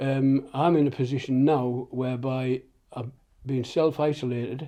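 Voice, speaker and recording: Here a man speaks at a medium pitch in a dark, mellow tone with fairly even intonation. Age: 70s. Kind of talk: interview answer. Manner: hesitant.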